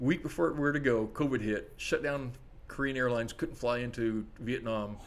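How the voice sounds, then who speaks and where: Here a man speaks in a normal speaking voice. His pitch is medium and his pace moderate. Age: 60s. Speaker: coffee shop owner. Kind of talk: casual chat.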